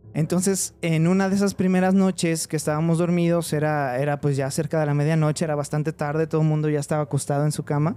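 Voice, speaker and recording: A man with a dark, mellow tone and a fairly high pitch talks at a very fast pace, with hardly any pauses and very even loudness. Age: 20s. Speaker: veterinarian telling paranormal stories. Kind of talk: personal storytelling in casual chat. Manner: hesitant, many fillers.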